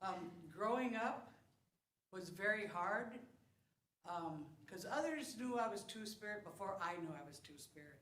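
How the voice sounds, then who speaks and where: Amid audible room echo, a woman at medium pitch speaks at a fairly slow pace with lively intonation and long, frequent pauses. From South Dakota. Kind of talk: talk to congregation. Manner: casual, conversational.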